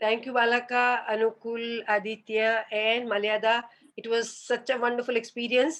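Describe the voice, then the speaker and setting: At a moderate pace, a woman speaks in a fairly high pitch with monotone, flat intonation. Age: 70s. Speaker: classical dance teacher. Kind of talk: interview.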